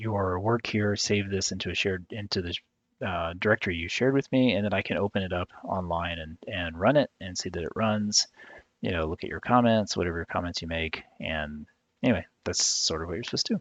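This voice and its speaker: A soft-spoken man with a very deep, low pitch and a fairly quick pace. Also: ordinary pitch variation. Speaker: instructor. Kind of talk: tutorial. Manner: halting.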